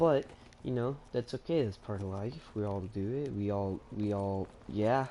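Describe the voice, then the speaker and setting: A man speaks in a dark, mellow tone. His pace is fairly slow, with ordinary pitch variation. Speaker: gaming streamer. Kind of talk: live gameplay commentary. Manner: halting; casual.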